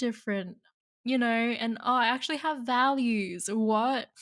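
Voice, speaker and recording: Her pace is fairly slow and her tone animated. The woman speaks with a high pitch. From Australia, Sydney (Cabramatta area). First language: Vietnamese. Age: 20s. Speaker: podcast host, university student. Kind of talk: casual solo chat. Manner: animated, laughs often.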